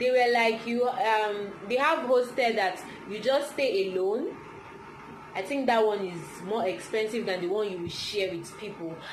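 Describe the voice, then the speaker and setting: Against noticeable background noise and audible room echo, a woman talks at a fairly slow pace in a fairly high pitch with ordinary pitch variation. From Nigeria. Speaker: vlogger. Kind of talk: casual chat.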